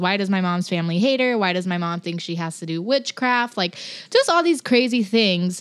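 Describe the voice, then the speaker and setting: Speaking at a moderate pace with an American accent, a woman uses a plain, everyday voice at a medium pitch with lively intonation. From Los Angeles. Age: 20s. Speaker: writer and poet. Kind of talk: casual interview chat.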